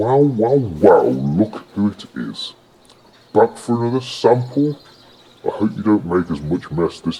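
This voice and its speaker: Using a put-on character voice, a man booms in a gruff, fairly low pitch at a fairly slow pace. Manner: teasing, suspicious.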